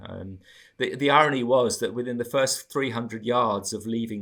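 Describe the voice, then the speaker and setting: A man with an English accent talks at a fairly quick pace on a very clean recording with a silent background. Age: 60s. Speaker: marathon runner. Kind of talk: interview.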